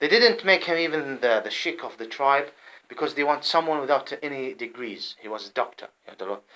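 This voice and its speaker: A fairly high-pitched man with an Arabic accent talks at a fairly quick pace in a bright, sharp tone, with lively intonation and big swings in loudness. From Saudi Arabia. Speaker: vlogger. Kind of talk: personal monologue. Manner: halting; agitated.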